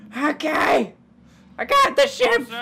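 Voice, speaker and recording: A woman uses a put-on character voice. Her pitch sits high. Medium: actual play. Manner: loud, eager.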